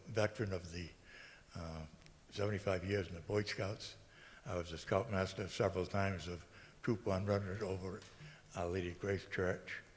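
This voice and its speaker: The voice is somewhat breathy and carries an American accent. It moves at a moderate pace with ordinary pitch variation. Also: man. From Massachusetts, New Bedford. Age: 80s+. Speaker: local election candidate, military veteran. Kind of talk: candidate speech. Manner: halting, many fillers.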